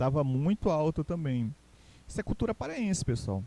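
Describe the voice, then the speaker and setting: A man's fairly high voice with a Pará accent, dark and mellow in tone, lively in intonation, at a moderate pace, with a dry, close sound and no echo. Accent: Castanhal Pará. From Pará, Brazil (Castanhal). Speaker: teacher. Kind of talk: recorded online lecture. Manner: hesitant, many fillers.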